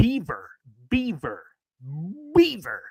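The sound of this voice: A female-sounding, high-pitched put-on character voice with hissing.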